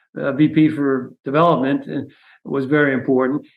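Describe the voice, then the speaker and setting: A man speaks in a flat monotone with an American accent. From New York City (the Bronx). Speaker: retired university president. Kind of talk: interview. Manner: hesitant, many fillers.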